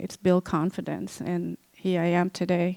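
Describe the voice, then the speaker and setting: A woman with a non-native accent talks at a moderate pace, her fairly low voice recorded with a dry, close sound and no echo. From Cambodia. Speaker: genocide survivor and author. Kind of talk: lecture. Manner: halting, many fillers.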